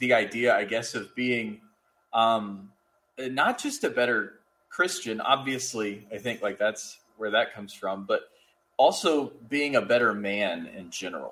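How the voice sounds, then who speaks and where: Medium in pitch, a man talks at a fairly slow pace. The recording is very clean, with a silent background. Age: 30s. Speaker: seminary-bound student. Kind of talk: casual conversation. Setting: call recording. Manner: hesitant, many fillers.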